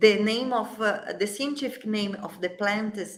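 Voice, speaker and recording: Audible room echo surrounds a woman with a Brazilian Portuguese accent, whose voice is fairly high-pitched with a bright, sharp tone. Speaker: flower essence company CEO. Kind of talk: interview. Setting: livestream. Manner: halting.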